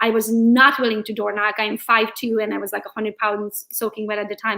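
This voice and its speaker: A woman with a Hungarian accent talks at a very fast pace. Her fairly high voice has a bright, sharp tone. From Transylvania, Romania (Hungarian). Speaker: real estate agent and social media coach. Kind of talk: interview. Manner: animated.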